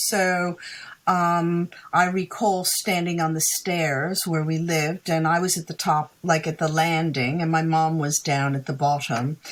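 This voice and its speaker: Speaking at a fairly slow pace, a woman has a fairly low pitch and an ordinary speaking voice. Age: 60s. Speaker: psychic and author. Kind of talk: interview.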